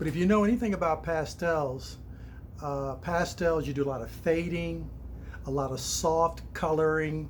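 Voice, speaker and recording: A man talks at a moderate pace, with audible room echo around him. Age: 60s. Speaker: stained glass artist. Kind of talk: personal introduction monologue. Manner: casual, with frequent fillers.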